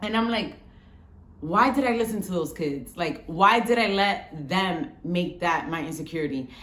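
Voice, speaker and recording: A woman with an American accent speaks at a moderate pace and medium pitch with lively intonation. Room echo can be heard. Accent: New York Bronx twang with a little Spanish. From Bronx, New York, Dominican family. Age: 30s. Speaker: vlogger. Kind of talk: casual storytelling vlog.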